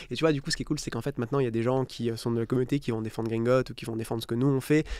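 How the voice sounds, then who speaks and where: Delivered at a very fast pace, the voice has a dark, mellow tone and fairly even intonation. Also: man, medium pitch for a man. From southern France, Istres near Marseille. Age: 30s. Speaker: startup founder and CEO. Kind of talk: podcast interview. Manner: casual, filler-heavy.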